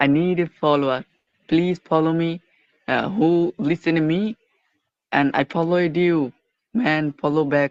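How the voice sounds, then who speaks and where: A man with a Bangladeshi accent speaks at a fairly slow pace in a fairly high pitch, leaving long, frequent pauses. His loudness stays very even, and the sound is dry and close with no echo. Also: ordinary pitch variation. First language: Bengali. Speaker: caller. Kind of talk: call-in conversation. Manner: halting, broken English.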